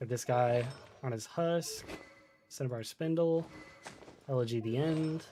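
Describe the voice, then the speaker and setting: A man speaks with an American accent. His tone is dark and mellow, and his pitch varies in an ordinary way. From Florida, US. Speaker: gaming streamer. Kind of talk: casual live-stream chat. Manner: relaxed, many fillers and hesitations.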